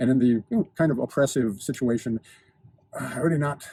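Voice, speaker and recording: In a dry, close recording with no echo, a man talks at a medium pitch with ordinary pitch variation. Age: 60s. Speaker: lifestyle and fitness video host. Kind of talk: monologue to camera. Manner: precise, articulate diction; halting with repetitions.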